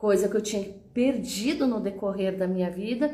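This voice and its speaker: Noticeable background noise runs under a woman speaking at a medium pitch with fairly even intonation. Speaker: communication coach, teacher. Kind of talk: motivational talk to online audience. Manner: conversational, repetitive fillers.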